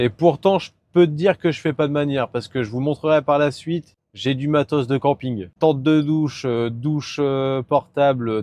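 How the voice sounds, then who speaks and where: The man talks at a moderate pace with a fairly high pitch. His tone is dark and mellow, and his intonation is fairly even. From northern France, Nord-Pas-de-Calais. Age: 20s. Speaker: truck driver vlogger. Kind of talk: casual vlog talk. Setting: in a truck cab while driving. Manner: casual, hesitant with fillers.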